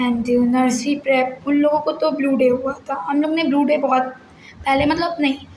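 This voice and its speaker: Delivered at a fairly slow pace with fairly even intonation, the speech carries audible room echo and noticeable background noise. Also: woman. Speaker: vlogger and school teacher. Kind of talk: casual vlog talk.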